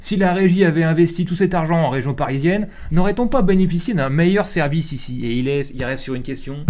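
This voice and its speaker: Over noticeable background noise, a man with a high-pitched voice talks at a very fast pace. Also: ordinary pitch variation. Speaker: streamer and show host. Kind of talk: reading aloud news articles with commentary. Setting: live stream. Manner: casual, colloquial.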